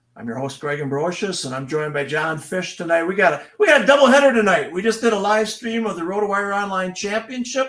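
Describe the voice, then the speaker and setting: A man with a Wisconsin accent, high-pitched, very fast, with lively intonation and hardly any pauses. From Wisconsin, Green Bay area. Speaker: fantasy sports livestream host. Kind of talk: casual livestream chat. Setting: livestream.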